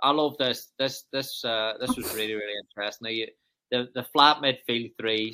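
In a Northern Irish accent, a man with a medium-pitched, bright, sharp voice speaks at a moderate pace with ordinary pitch variation. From Northern Ireland. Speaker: football coaching podcast host. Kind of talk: casual interview.

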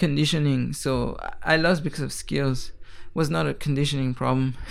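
At a moderate pace, a man is talking. Audible room echo surrounds the voice. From Switzerland (Geneva). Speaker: MMA fighter. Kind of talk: interview. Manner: animated.

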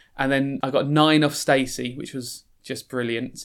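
A man in a South London accent, medium pitch with a bright, sharp tone, moderate pace and monotone, flat intonation, in a very clean recording with a silent background. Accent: South London, moved out later, moderate. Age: 30s. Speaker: aspiring novelist, former teacher. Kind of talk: casual interview with a reading aloud of fiction. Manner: hesitant, filler words.

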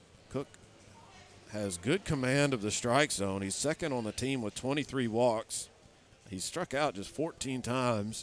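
A man's plain, everyday voice at medium pitch with ordinary pitch variation. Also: fairly slow pace. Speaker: baseball play-by-play announcer. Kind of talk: live baseball play-by-play commentary with color analysis. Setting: stadium broadcast booth with headsets. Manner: measured, explanatory pitch-by-pitch delivery.

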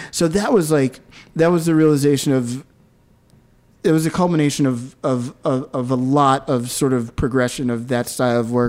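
Here is a man with an unremarkable speaking voice, medium pitch and ordinary pitch variation. He speaks at a moderate pace with an American accent. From US, Philadelphia. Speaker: photographer. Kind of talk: casual interview.

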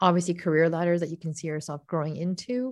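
A woman with a Canadian accent and an unremarkable speaking voice talks fairly quickly at a fairly low pitch with fairly even intonation. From Canada, Toronto area (moved from Japan as a child). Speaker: company founder and CEO, medical illustrator. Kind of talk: interview.

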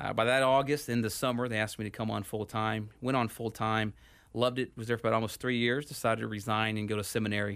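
A man talks very fast in an American accent at a medium pitch. His intonation is monotone and flat, and the recording is very clean with a silent background. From Houston, Texas. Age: 30s. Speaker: pastor. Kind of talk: radio interview. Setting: studio.

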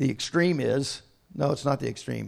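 With vocal fry, a man speaks at a medium pitch and moderate pace, his pitch varying in an ordinary way. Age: 60s. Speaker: visiting bishop preaching. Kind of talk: sermon. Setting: church service with congregation.

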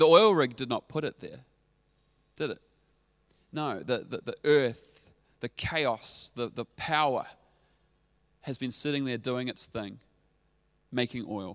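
Recorded very cleanly against a silent background with a dry, close sound and no echo, a man with a New Zealand accent speaks at a medium pitch and a fairly slow pace, his intonation lively and his pauses long and frequent. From New Zealand, Dunedin (South Island). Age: 30s. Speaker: pastor. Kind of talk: sermon. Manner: animated.

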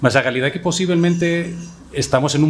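A man races along very fast with ordinary pitch variation while noticeable noise fills the background. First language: Spanish (speaking Portuguese). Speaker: market research executive. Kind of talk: panel discussion.

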